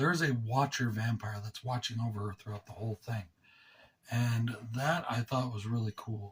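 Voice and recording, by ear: A man speaks at a moderate pace and a medium pitch. His voice has ordinary pitch variation and a slightly husky edge.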